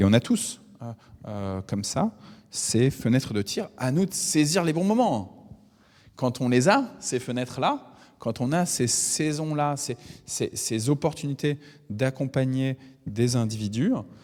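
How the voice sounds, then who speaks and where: A man speaks at a very slow pace with long, frequent pauses. His medium-pitched voice carries lively intonation. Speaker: preacher. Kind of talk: bible teaching. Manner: halting, many hesitations.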